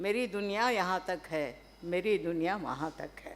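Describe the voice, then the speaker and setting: A woman with a Telangana accent talks with lively intonation. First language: Telugu (speaking Hindi). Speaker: professor. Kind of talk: seminar talk. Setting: stage at academic seminar. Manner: formal; hesitant fillers.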